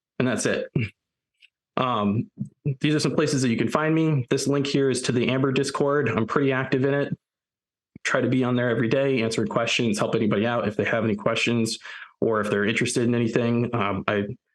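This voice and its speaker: Talking very fast with an American accent, a man keeps his loudness very even while his pitch varies in an ordinary way. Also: medium pitch for a man. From US Northeast. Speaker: software developer, conference speaker. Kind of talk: conference talk.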